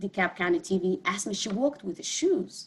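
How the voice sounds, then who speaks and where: A woman with a Somali accent speaks in a medium pitch that is somewhat breathy. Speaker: community health advocate, clinic board member. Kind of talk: panel discussion.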